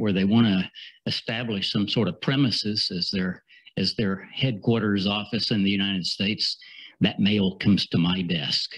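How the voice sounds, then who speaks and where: A man with a Southern US accent speaks at a fairly low pitch. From US South. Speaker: international business attorney. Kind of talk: conference presentation. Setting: seminar with audience and slides. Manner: halting, many fillers and repeats.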